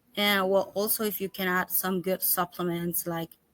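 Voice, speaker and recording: A woman with a Spanish accent, medium pitch and ordinary pitch variation. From El Salvador. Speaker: holistic pet health coach. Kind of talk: interview. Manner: halting, with self-corrections.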